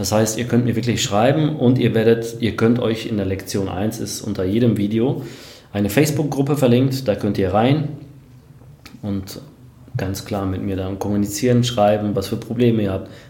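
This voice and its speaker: There is audible room echo as a man speaks at medium pitch and a moderate pace, with ordinary pitch variation. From Germany, Sauerland and Hamm (Westphalia). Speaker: online marketer. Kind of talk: interview. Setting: office, livestream.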